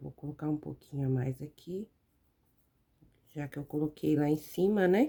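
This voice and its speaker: A soft-spoken woman with a very deep, low pitch and a dark, mellow tone speaks at a moderate pace with ordinary pitch variation, big swings in loudness, and long, frequent pauses. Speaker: fabric painting teacher. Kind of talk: tutorial. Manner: gets quieter while absorbed in painting.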